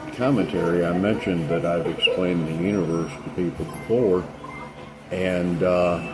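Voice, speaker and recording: Against noticeable background noise, a man with a very deep, low pitch speaks at a moderate pace. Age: 60s. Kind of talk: casual spiritual talk to camera. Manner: hesitant, many fillers.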